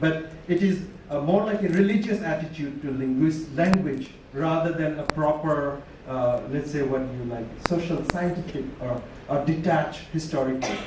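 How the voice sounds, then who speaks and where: Amid noticeable background noise and audible room echo, a man talks at a moderate pace with a fairly high pitch and ordinary pitch variation. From Chittagong Hill Tracts, Bangladesh. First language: Tripura. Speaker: university lecturer. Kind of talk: conference talk.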